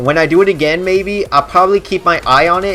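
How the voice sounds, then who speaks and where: The talking is fairly quick, with music in the background. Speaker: gaming YouTuber. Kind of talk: tutorial; casual chat. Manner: halting; casual.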